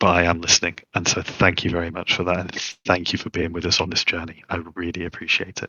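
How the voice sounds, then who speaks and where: A man with a British accent talks at a very fast clip. His very deep voice stays flat and monotone throughout. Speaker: open-source project developer. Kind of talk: livestream panel talk. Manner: many fillers and repetitions.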